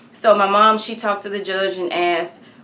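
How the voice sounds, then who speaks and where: A woman's medium-pitched voice with an American accent, monotone, flat intonation and audible room echo. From Texas, Hearn. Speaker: activist telling her legal story. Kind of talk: testimony. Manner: halting, many fillers.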